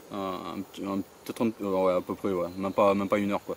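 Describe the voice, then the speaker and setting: This man's voice is fairly low in pitch. He gets the words out at a very fast pace. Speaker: carp angler vlogger. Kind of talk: casual outdoor vlog commentary. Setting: outdoors by a lake. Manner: halting, many fillers and repetitions.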